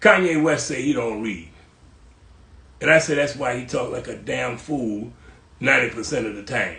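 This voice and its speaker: A man's moderately paced speech comes with audible room echo. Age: 80s+. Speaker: cultural historian, host's father. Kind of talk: casual interview chat. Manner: halting, repeating words.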